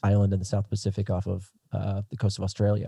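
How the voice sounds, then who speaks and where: Very fast American-accented speech with a dark, mellow tone, dry and close with no echo, over a quiet background. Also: man. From southern Minnesota. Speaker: pastor and missionary. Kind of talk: podcast interview.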